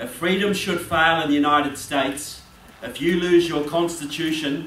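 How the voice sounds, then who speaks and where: Noticeable background noise and audible room echo around a man's voice of fairly high pitch. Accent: New Zealand. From New Zealand. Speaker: political author and speaker. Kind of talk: speech. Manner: animated.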